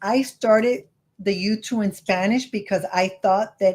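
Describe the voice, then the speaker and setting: A woman speaks slowly-ish, at a fairly slow pace, in a Miami accent, somewhat breathy. Her pitch is medium with ordinary variation. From California. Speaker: credit card YouTuber. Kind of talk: casual chat.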